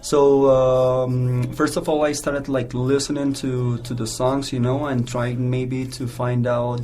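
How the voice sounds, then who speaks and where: A man's medium-pitched, flat, monotone voice at a fairly slow pace, with audible room echo and music in the background. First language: Spanish. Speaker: English teacher. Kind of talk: interview. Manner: halting.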